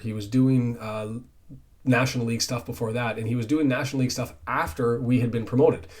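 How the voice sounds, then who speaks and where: A somewhat breathy man's voice at medium pitch and moderate pace. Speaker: football fan channel host. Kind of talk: solo football preview talk. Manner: stumbling over words; casual, conversational.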